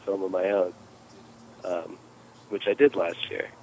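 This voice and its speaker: Amid noticeable background noise, a man with an American accent talks at a fairly quick pace, the sound dry and close with no echo. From western North Carolina, Appalachia. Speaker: caller and amateur filmmaker.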